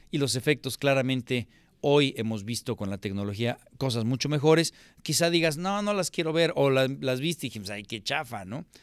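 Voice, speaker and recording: A man talks with an animated tone and lively intonation. The background is quiet. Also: dry sound with no echo. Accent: Mexico City. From Mexico City. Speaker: film critic, channel host; channel host. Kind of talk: film review monologue. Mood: annoyed, critical, sarcastic. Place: home room. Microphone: studio mic.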